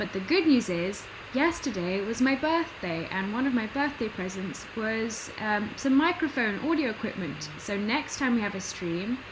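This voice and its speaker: In a British accent, a woman speaks at a moderate pace with a fairly high pitch and very wide pitch swings. Noticeable background noise and audible room echo surround her. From Britain. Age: 20s. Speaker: artist streamer. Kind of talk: casual livestream commentary while drawing. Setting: home livestream. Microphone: computer built-in mic, poor audio quality.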